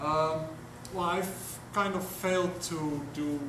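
There is audible room echo and noticeable background noise as a man talks at a fairly slow pace. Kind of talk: discussion session contribution. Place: meeting room. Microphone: camera far.

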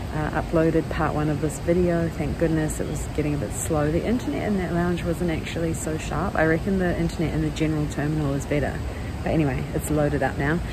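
Noticeable background noise sits behind a woman speaking at a very fast pace. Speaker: travel vlogger. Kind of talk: casual vlog chat. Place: station. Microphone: phone near.

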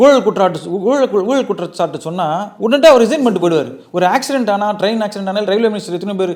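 Here a man speaks with a high pitch and lively intonation. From Chennai, India (Seven Wells / Mint area). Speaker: former Olympic boxer and railway officer. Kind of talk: interview.

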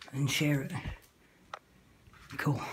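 This woman has a very deep, low voice and speaks at a fairly slow pace. Noticeable background noise can be heard. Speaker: vlogger exploring. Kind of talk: casual vlog chat. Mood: nervous, startled exclamations. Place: empty room. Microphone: phone near.

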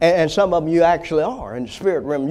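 A man with an American accent talks in an animated tone, his pitch high and his intonation lively. He keeps up a fairly quick pace. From US South. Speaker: preacher. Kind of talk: sermon. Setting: church. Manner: animated, fervent preaching cadence with call-and-response prompts like 'Say amen'; exhortative, punchy repetition of key words for emphasis. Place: church. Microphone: lapel.

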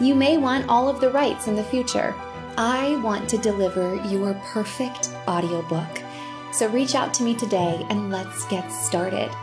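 An American-accented woman at a moderate pace, with clear music in the background. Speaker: voice actor; audiobook narrator. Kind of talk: sales pitch to camera. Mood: warm, friendly, upbeat. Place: home room.

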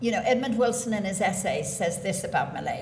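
A woman with an Irish accent and ordinary pitch variation, amid light background noise and audible room echo. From Ireland. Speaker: poet. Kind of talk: literary talk at a poetry reading. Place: hall.

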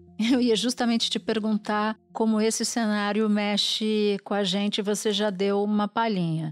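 A woman talks at a fairly slow pace in a fairly high pitch, her intonation monotone and flat. There are hardly any pauses, her loudness stays very even, and the recording is very clean with a silent background. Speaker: news podcast host. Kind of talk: interview.

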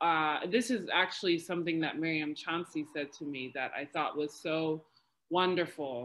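A woman with an American accent speaks at a moderate pace in a very deep, low pitch with ordinary pitch variation. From New York City. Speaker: PhD researcher, historian. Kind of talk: academic panel discussion. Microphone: video call.

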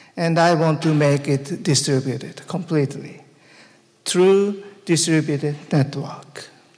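A man with a Japanese accent speaks fairly slowly at a fairly high pitch, with fairly even intonation and very even loudness. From Japan, Tokyo. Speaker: conference speaker. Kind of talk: conference talk. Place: hall. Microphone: handheld.

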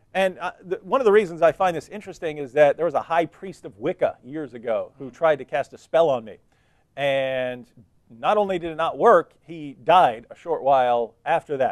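Against a quiet background, a man talks at a moderate pace with ordinary pitch variation and big swings in loudness. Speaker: TV show host. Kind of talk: religious commentary. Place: studio. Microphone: lapel.

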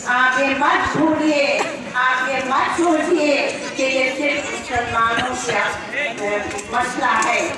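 Amid noticeable background noise and strong room echo, a woman talks at a very slow pace with long, frequent pauses. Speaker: protest speaker. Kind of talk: political rally speech. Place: street.

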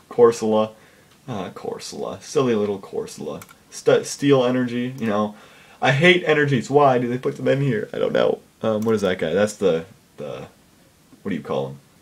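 At a moderate pace, a man speaks. His loudness swings widely. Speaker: gaming video creator. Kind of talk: casual commentary. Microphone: webcam.

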